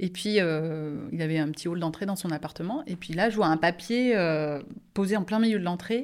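On a very clean recording with a silent background, a woman with an ordinary speaking voice talks at a moderate pace, her pitch fairly low with ordinary variation. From France, Angers. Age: 40s. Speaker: nurse. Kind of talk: casual chat.

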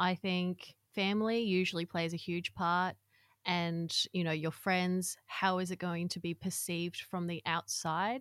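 A woman's fairly low voice, flat and monotone, at a fairly slow pace, with a dry, close sound, no echo, and a very clean recording over a silent background. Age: 30s. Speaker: author and content creator. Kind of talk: casual chat.

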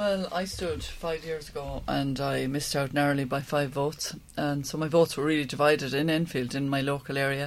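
A woman with an Irish accent, very deep and low in pitch, talking at a fairly quick pace with hardly any pauses and fairly even intonation. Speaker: local election candidate. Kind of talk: panel debate.

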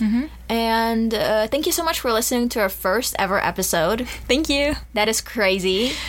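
A woman speaks in an ordinary speaking voice at a fairly high pitch. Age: 20s. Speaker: college student podcast co-host. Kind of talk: casual chat.

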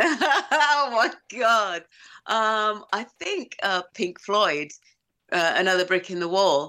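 A woman's bright, sharp voice at medium pitch, very slow, with very wide pitch swings, in a very clean recording with a silent background. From England, Essex (Romford). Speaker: guest. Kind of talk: casual chat. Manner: separates words carefully.

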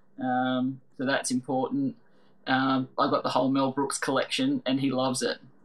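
A woman with an Australian accent, her loudness very even. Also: moderate pace. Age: 40s. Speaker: quiz show contestant and restaurant manager. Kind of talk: casual chat.

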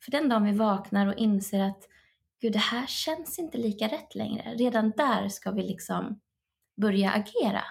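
A somewhat breathy woman at a fairly high pitch, moderate pace and ordinary pitch variation. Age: 30s. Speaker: life coach. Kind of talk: casual chat. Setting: remote call.

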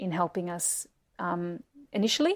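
Recorded very cleanly against a silent background, a woman with an Australian accent speaks at a moderate pace and a medium pitch. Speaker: actress. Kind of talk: casual chat.

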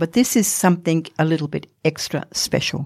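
A woman's dark, mellow voice in an Australian accent, very deep and low in pitch with vocal fry, at a moderate pace and with ordinary pitch variation, dry and close with no echo. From Australia, Northern Territory. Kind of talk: interview. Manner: halting.

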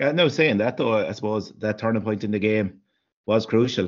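With an Irish accent, a man speaks at a fairly quick pace in a fairly low pitch. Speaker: hurling pundit. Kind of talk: casual sports chat.

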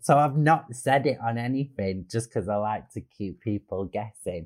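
In a Manchester accent, a man speaks with medium pitch and lively intonation. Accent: northern English (Manchester). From Manchester area, England. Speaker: comedian. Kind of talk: casual chat. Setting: video call. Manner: animated.

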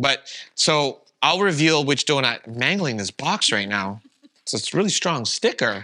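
A man with a Canadian accent has a bright, sharp tone and a fairly high pitch, speaking at a moderate pace with very wide pitch swings. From Calgary, Canada. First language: Vietnamese. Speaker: podcast co-host, YouTube content creator. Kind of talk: casual conversation, podcast intro.

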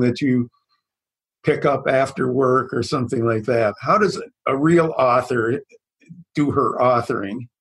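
Somewhat breathy and medium in pitch, a man speaks at a fairly slow pace with ordinary pitch variation. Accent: American. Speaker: podcast host and psychologist. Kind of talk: interview. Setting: video call.

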